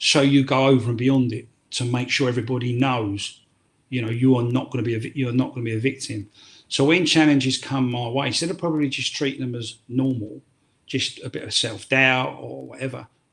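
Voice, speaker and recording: With a London accent, a man speaks fairly quickly at a medium pitch, somewhat breathy, his intonation fairly even. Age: 60s. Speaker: former prisoner turned tour guide. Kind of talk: podcast interview. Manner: halting.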